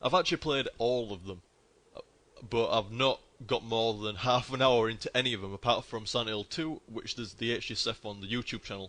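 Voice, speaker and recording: With a northern English accent, a man talks fairly quickly in a bright, sharp tone, at a medium pitch with ordinary variation. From northern England. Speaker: gaming streamer. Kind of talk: casual live-stream commentary. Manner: casual, sweary and chatty.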